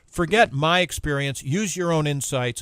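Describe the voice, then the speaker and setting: With an American accent, a man speaks at a fairly quick pace with ordinary pitch variation. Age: 60s. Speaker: retired judge, drug policy reform spokesperson. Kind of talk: radio interview. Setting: radio studio.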